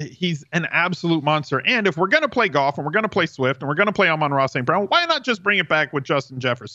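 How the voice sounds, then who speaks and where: Very fast and lively in intonation, a man speaks in a bright, sharp tone at a very even loudness. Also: fairly high pitch for a man, quiet background. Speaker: fantasy football analyst. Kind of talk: casual chat.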